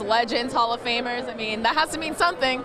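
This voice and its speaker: A woman with a high voice talks fairly quickly while noticeable noise sounds behind her. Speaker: TV sports host / reporter. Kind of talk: TV sports broadcast reporter, on-location stand-ups. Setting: outdoors, practice field.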